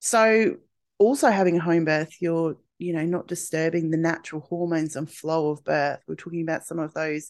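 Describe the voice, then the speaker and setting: A woman with an Australian accent speaks fairly quickly at a fairly low pitch. The background is quiet. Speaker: podcast host, birth coach. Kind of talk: casual solo monologue.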